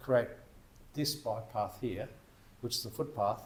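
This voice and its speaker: A man with an Australian accent talks at a moderate pace. His voice is somewhat breathy, with lively intonation. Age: 60s. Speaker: e-bike shop owner. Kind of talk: casual interview chat.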